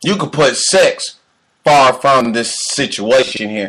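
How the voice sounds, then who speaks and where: A loud man speaks at a fairly slow pace in a bright, sharp, animated tone. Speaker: podcast host. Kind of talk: motivational monologue.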